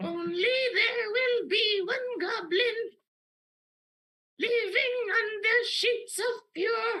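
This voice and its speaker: An extremely high-pitched put-on character voice at a very slow pace, broken by long, frequent pauses. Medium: actual play. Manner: odd, declamatory outbursts.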